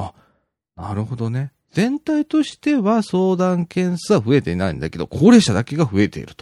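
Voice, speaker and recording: A man at a moderate pace with big swings in loudness, in a very clean recording with a silent background and a dry, close sound with no echo. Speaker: podcast host. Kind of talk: solo radio-style podcast reading local news. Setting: home studio. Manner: filler-heavy, rambling.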